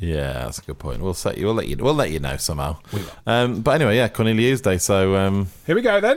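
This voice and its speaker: A man with a fairly low pitch and vocal fry talks at a fairly quick pace. His pitch swings very widely on a very clean recording with a silent background. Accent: British. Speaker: comedy podcast co-host. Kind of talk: casual banter.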